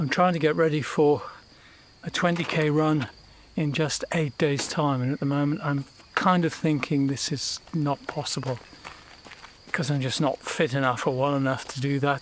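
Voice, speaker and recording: A man talks at a fairly high pitch with a British accent and fairly even intonation. His pace is moderate, broken by long, frequent pauses. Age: 70s. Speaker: vlogger. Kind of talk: personal video diary narration. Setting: outdoors in garden.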